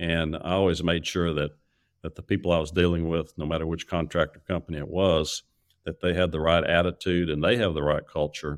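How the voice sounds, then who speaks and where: The speaker moves along at a fairly quick pace. The intonation is monotone and flat. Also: man, very deep, low pitch for a man. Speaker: retired chemical industry executive. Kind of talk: interview. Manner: halting.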